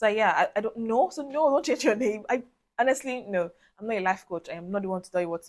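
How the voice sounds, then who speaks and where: A woman speaks in a normal speaking voice at a fairly quick pace. Her pitch shows ordinary variation. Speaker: video diarist. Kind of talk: personal vlog monologue.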